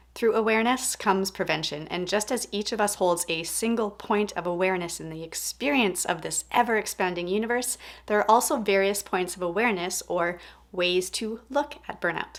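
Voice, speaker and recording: A woman speaks in an enthusiastic tone at a fairly quick pace and medium pitch, with ordinary pitch variation. The recording is very clean, the background silent. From Texas, US. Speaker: podcast interviewer, coach. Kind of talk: interview.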